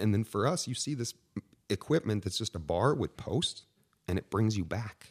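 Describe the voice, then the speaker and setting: A man with an ordinary speaking voice talks at a fairly low pitch and a moderate pace, with lively intonation. The sound is dry and close, with no echo. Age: 40s. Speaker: fitness equipment company founder. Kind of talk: casual interview.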